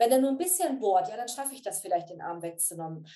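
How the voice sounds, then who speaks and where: A woman's fairly high, dark and mellow voice with very wide pitch swings. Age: 50s. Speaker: coach. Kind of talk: interview.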